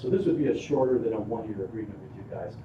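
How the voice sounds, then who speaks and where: In a room with audible echo, a man with an American accent talks at a medium pitch and a very fast pace. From northern Illinois. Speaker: solar developer representative. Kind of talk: presentation to city council. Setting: city council meeting.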